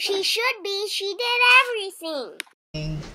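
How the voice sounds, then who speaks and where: A squeaky, put-on character voice at an extremely high pitch speaks at a fairly slow pace. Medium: read story.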